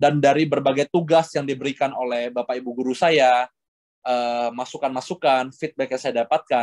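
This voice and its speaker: A man at medium pitch, moderate pace and fairly even intonation, in a dry, close sound with no echo. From Indonesia. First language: Hokkien (speaking Indonesian). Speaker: guest lecturer. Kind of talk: lecture. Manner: fluent, unbroken delivery.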